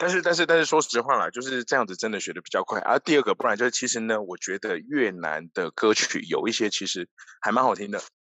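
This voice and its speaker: With a Taiwanese accent, a man speaks very fast, his pitch swinging very widely. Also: medium pitch for a man, hardly any pauses. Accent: Taiwanese Mandarin. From Taiwan, Tainan. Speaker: e-commerce executive. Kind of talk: interview.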